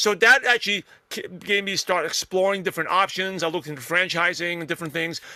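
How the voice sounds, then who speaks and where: Loudness swings widely as the speaker races along at a very fast pace with ordinary pitch variation. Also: man, high pitch for a man. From New York (Brooklyn), US. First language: not English (English is third language). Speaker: network marketer and podcaster. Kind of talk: interview.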